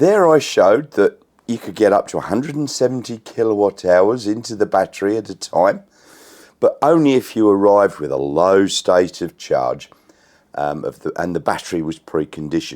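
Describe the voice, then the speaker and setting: A man with an Australian accent talks at a fairly low pitch and a moderate pace. His pitch swings very widely. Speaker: electric car YouTuber. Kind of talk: casual talk to camera.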